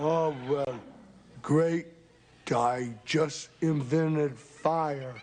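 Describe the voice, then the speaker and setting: Using a put-on character voice, a man speaks at a very slow pace with long, frequent pauses, fairly high pitch and fairly even intonation. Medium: comedy sketch.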